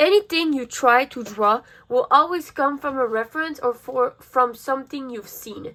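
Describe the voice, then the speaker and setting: Her voice raised and projected, a woman speaks at high pitch in a bright, sharp tone with lively intonation and big swings in loudness. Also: moderate pace. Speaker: art youtuber. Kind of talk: tutorial. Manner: casual, upbeat.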